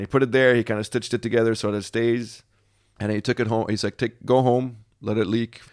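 Speaking at a very fast pace, a man with a medium-pitched voice is heard in a dry, close recording with no echo, very clean against a silent background. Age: 30s. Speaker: storytelling podcast guest. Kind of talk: casual storytelling. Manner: animated.

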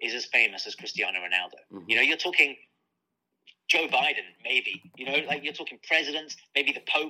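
A man speaks in a British accent. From UK. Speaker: author and sports journalist. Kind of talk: interview.

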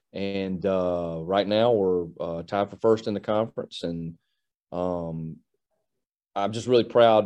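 This man uses an American accent, a fairly low pitch and a dark, mellow tone. He talks at a fairly slow pace with fairly even intonation. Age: 40s. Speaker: college football coach. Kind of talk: interview.

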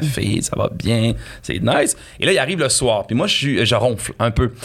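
There is noticeable background noise behind the speaker. A man talks with ordinary pitch variation. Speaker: comedian. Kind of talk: casual chat.

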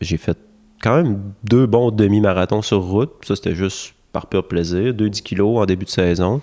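A man's dark, mellow voice, fairly low in pitch, at a fairly slow pace with ordinary pitch variation. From Quebec, Charlevoix (Baie-Saint-Paul). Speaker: trail runner. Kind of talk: casual chat. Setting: at his home.

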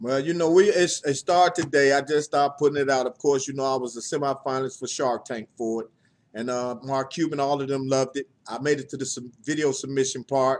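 With fairly even intonation, an ordinary speaking voice goes along at a fairly quick speed. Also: man, fairly high pitch for a man. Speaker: podcast co-host.

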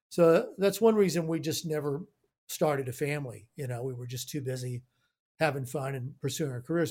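A man with a fairly high, somewhat breathy voice is heard on a very clean recording with a silent background. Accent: American. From Houston, Texas. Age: 60s. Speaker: studio owner, producer and engineer. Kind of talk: casual interview chat.

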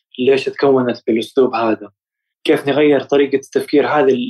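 A man speaks in a flat monotone at a fairly high pitch. His moderate pace comes through a dry, close sound with no echo. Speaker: doctor. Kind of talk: personal testimony in interview.

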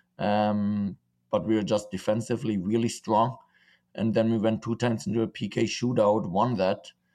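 A man with a German accent, a dark, mellow tone, fairly low pitch, fairly even intonation and a moderate pace, against a quiet background. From Germany and Czech Republic. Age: 20s. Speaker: professional footballer. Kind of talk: casual interview.

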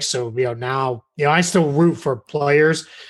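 A man with an American accent and an ordinary speaking voice, fairly high in pitch, with fairly even intonation at a moderate pace. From Massachusetts. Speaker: basketball writer. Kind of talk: podcast interview. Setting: remote call.

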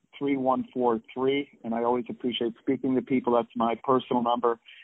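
A man with an American accent uses a normal speaking voice at medium pitch and a moderate pace. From New York City. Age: 50s. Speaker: martial arts grandmaster and former champion. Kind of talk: interview.

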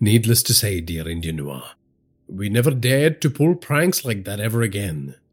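Pitched fairly low, a man's voice moves in big pitch swings. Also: moderate pace, very clean recording, silent background.

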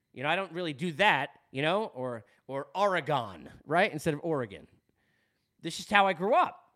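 In a Long Island accent, the speaker talks at a moderate pace with a bright, sharp, animated tone, lively intonation and big swings in loudness. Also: man, fairly high pitch for a man. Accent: Long Island New York. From New York, Long Island. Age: 40s. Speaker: sports podcast host. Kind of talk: casual monologue.

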